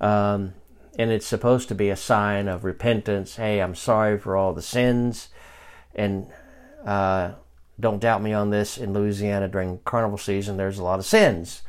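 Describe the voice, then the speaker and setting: His intonation stays monotone and flat. The man's pitch is fairly low. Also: moderate pace. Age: 50s. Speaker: Bible teacher and podcast host. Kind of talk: Bible study lesson. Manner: conversational, with frequent fillers and restarts.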